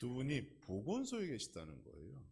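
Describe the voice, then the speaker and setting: The delivery is very slow, with vocal fry. Audible room echo surrounds it. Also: man. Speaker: pastor. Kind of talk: sermon. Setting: church.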